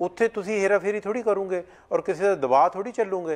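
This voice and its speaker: Here a man talks at a fairly slow pace with ordinary pitch variation. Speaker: Sikh community advocate; guest. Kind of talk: interview. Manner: loud at times. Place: studio. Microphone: lapel.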